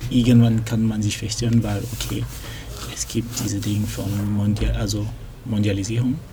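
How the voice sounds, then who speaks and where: Whispering in a French accent, a man keeps a moderate pace with long, frequent pauses. There is noticeable background noise and audible room echo. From Cameroon, then Lyon, France from about age ten. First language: French (speaking German). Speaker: computer science student, language tandem partner. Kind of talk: casual chat. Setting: library. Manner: halting, searching for German words.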